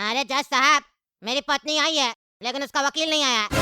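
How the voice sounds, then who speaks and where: A cartoonish character voice moves along at a moderate pace. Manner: whiny, pleading.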